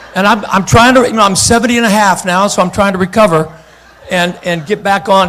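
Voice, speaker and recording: Over noticeable background noise, a man with a high pitch talks at a moderate pace in an animated tone. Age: 70s. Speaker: guest preacher. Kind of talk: sermon.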